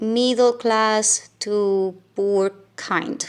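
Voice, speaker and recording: A woman with a Venezuelan accent on a very clean recording against a silent background. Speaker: teacher and vlogger. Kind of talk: casual vlog talk. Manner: hesitant, many fillers.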